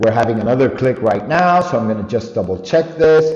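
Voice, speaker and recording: A man with a non-native accent, ordinary pitch variation and a fairly quick pace, in audible room echo amid noticeable background noise. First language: not English. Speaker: online store owner, tutorial vlogger. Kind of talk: screen-recorded tutorial. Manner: halting, self-correcting.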